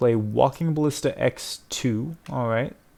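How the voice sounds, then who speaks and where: A man with a medium pitch and ordinary pitch variation speaks in an ordinary speaking voice. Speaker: gaming content creator. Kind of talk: gameplay commentary. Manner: casual, thinking aloud.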